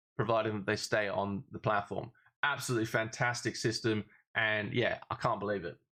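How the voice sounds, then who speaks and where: With an Australian accent, a man talks at a fairly quick pace. His tone is bright and sharp, his pitch fairly low. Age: 20s. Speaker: affiliate marketer. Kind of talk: casual tutorial talk to camera. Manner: upbeat.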